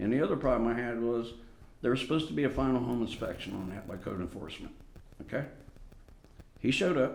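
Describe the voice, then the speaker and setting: A man talks at a very fast pace in a medium pitch. Audible room echo surrounds his voice. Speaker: resident addressing city council. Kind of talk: public comment at council meeting. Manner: loud; agitated.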